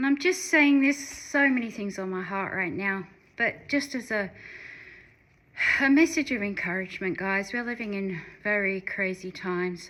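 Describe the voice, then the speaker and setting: A woman speaks with an Australian accent at a medium pitch. Her intonation is lively and her pace moderate. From Western Australia. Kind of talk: casual talk to camera. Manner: earnest, encouraging.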